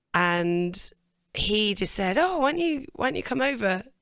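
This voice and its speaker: Over a silent background on a very clean recording, a woman with an English accent speaks at a medium pitch with lively intonation. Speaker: singer. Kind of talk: interview.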